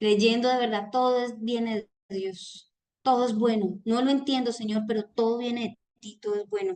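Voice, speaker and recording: A woman's fairly high voice in a monotone, flat delivery at a moderate pace. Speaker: reading group leader. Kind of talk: book club talk on video call. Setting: video call. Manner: loud.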